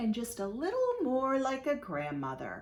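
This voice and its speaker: A female-sounding voice puts on a gruff, growling character voice at a high pitch. The pace is moderate. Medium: read story.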